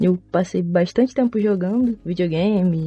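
Woman speaking at a moderate pace, medium in pitch and somewhat breathy, with ordinary pitch variation. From Rio de Janeiro state, Baixada Fluminense. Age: 20s. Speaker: programmer and content creator. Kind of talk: interview.

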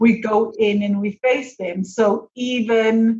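Her voice is somewhat breathy. The woman speaks at a fairly high pitch. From South Africa. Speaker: money coach and business owner. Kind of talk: interview.

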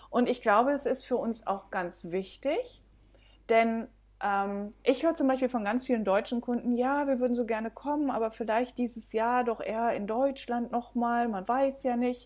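A woman speaks at a high pitch and a moderate pace. Her intonation is fairly even on a very clean recording with a silent background. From Belgium. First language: bilingual Dutch and German (speaking German). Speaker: B&B owner. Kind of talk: casual interview.

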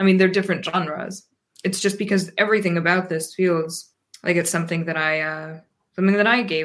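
A woman with an unremarkable speaking voice, fairly low in pitch, at a fairly quick pace with fairly even intonation. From US, Pennsylvania. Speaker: poet and translator. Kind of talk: interview.

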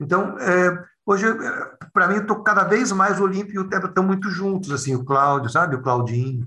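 Speaking at a fairly quick pace, a man uses very wide pitch swings in a bright, sharp tone. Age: 50s. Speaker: clown and educator. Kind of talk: casual interview conversation.

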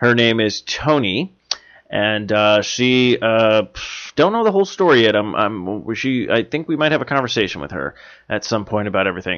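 A normal speaking voice from a man, medium-pitched, moderate in pace, with ordinary pitch variation. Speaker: podcast host. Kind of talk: casual chat, joking, profane.

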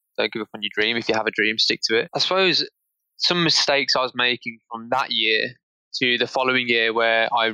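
With a British accent, a man speaks at medium pitch in a bright, sharp tone, the sound dry and close with no echo. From England. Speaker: marketing professional. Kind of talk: interview.

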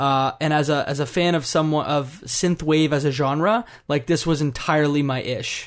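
A man with an unremarkable speaking voice, fairly high in pitch with fairly even intonation, at a moderate pace against a quiet background. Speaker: podcast host. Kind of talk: casual chat about a video game.

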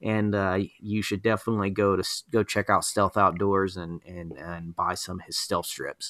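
Over a silent background in a very clean recording, a man with a fairly low pitch talks in a bright, sharp tone with flat, monotone intonation and hardly any pauses. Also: moderate pace. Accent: Southern US. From Georgia, US South. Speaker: podcast host. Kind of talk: casual chat.

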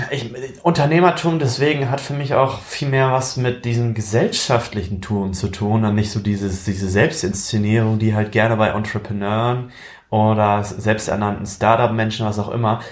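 There is audible room echo around a man with a fairly low pitch. He speaks at a moderate pace with ordinary pitch variation. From eastern Germany (Magdeburg). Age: 20s. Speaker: aspiring young entrepreneur and student. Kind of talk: casual chat.

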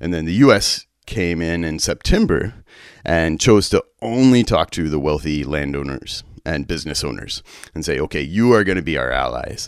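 A man speaks in an American accent with a very deep, low pitch and vocal fry. His intonation is lively and his pace moderate. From West Texas. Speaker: church peace worker. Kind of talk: interview. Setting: remote recording.

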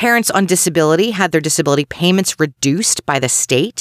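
Someone with an American accent speaks at a fairly quick pace on a very clean recording with a silent background. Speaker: true crime podcast host. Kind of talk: scripted narration.

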